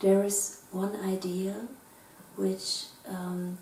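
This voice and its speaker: Amid noticeable background noise and audible room echo, a woman with a German accent speaks at medium pitch. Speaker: philosopher. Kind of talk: lecture. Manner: formal.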